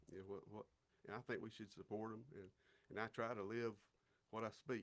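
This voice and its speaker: A man with an Alabama accent speaks at a fairly quick pace in a flat monotone. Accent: Southern US (Alabama). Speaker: city councilman. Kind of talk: casual interview. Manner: halting, many repeated words.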